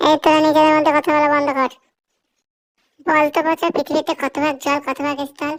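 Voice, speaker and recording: In a cartoonish character voice, a woman talks at a fairly quick pace with a high pitch and monotone, flat intonation. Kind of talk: comic cartoon voice acting. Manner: authoritative, lecturing.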